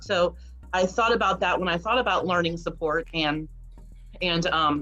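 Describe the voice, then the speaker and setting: Music plays in the background while a woman speaks at a moderate pace. Her fairly low-pitched voice holds a very even loudness. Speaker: special education teacher. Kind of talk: casual panel chat.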